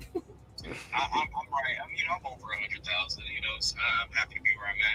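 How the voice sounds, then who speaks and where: A man races through his words at a very fast pace, with noticeable background noise behind him. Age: 20s. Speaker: caller. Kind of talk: call-in conversation.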